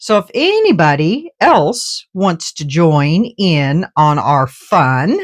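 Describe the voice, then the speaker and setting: A woman talks at a very slow pace. She leaves hardly any pauses. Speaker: resin art youtuber. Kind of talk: casual tutorial vlog. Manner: chatty, informal.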